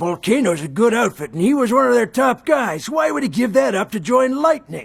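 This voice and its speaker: A man's put-on character voice, extremely high-pitched, at a fairly quick pace. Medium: fan dub. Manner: dismissive.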